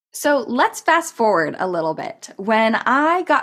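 Recorded very cleanly against a silent background, a woman with an American accent speaks at a fairly slow pace and a fairly high pitch. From California. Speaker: podcast host and business tech mentor. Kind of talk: personal storytelling monologue. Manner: casual, conversational.

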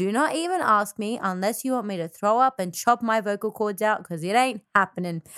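Fairly high in pitch and with an Australian accent, a woman talks at a fairly quick pace with hardly any pauses and ordinary pitch variation, in a dry, close sound with no echo. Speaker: podcast co-host and musician. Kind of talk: casual chat.

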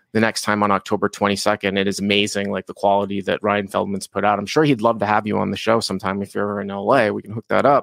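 In an American accent, a man with a fairly low, vocal-fried voice talks at a very fast pace with hardly any pauses and monotone, flat intonation. The recording is very clean with a silent background and a dry, close sound with no echo. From Boston, Massachusetts. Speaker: poker coach and content creator. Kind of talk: casual interview chat.

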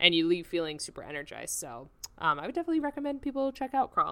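A woman's bright, sharp voice races at a very fast pace through very wide pitch swings. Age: 20s. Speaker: film podcast co-host. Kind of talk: casual film review chat.

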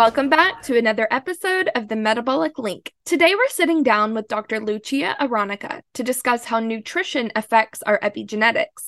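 With hardly any pauses, a woman in a normal speaking voice talks at a fairly high pitch with lively intonation, her sound dry and close with no echo. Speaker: podcast host. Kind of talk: scripted narration.

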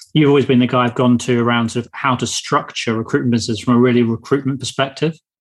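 This speaker talks at a very fast pace with a British accent. The intonation stays fairly even. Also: man. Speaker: podcast host. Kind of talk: interview.

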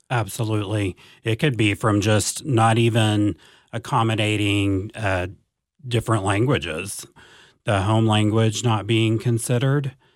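A man with a plain, everyday voice speaks at a fairly low pitch and a fairly slow pace. His intonation is fairly even, and the recording is very clean with a silent background. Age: 40s. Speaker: school district advanced academics coordinator. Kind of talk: interview conversation.

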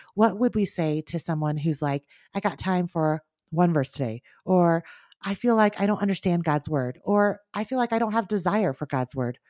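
A woman speaks at a moderate pace with a dark, mellow tone, fairly low pitch and lively intonation. The recording is very clean with a silent background, dry and close with no echo. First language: Mandarin. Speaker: podcast host. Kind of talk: casual chat.

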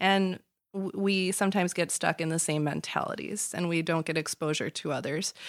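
In an American accent, a woman with fairly low pitch and fairly even intonation talks at a fairly quick pace in a very clean recording with a silent background. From Chicago area, US. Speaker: lawyer. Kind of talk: casual interview chat. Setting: studio.

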